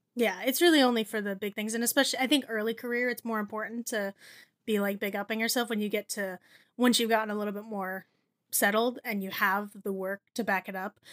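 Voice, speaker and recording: A woman with an American accent talks in an ordinary speaking voice, fairly high in pitch and fairly quick, with fairly even intonation. The sound is dry and close with no echo, on a very clean recording with a silent background. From New Jersey. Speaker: writer and editor, food blogger. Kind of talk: casual chat.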